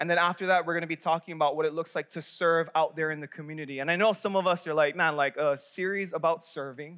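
Here a man speaks at a very fast pace. His intonation is fairly even and the background is quiet. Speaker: young adult pastor. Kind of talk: sermon. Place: church. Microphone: headset.

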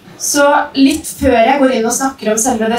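A woman talks with ordinary pitch variation, and room echo is audible around her. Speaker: presenter. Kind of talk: presentation talk. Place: stage.

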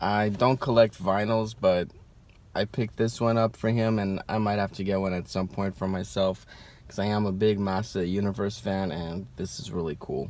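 A man's fairly low voice at a moderate pace, with ordinary pitch variation and a dry sound with no echo. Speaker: toy collector vlogger. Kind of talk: casual vlog chat. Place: car. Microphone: phone near.

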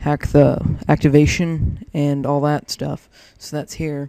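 A man speaks quietly in a flat monotone at a fairly high pitch. His tone is dark and mellow, with a dry, close sound and no echo. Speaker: gaming video editor and tutorial maker. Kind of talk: tutorial. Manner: quiet, subdued; casual, filler-heavy.

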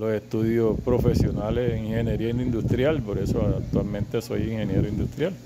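The speaker talks at a moderate pace with fairly even intonation. Loud background noise runs underneath. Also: man. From Colombia, Cartagena; Colombia. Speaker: school storekeeper, industrial engineer. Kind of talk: interview. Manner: halting, many repetitions. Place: office. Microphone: handheld.

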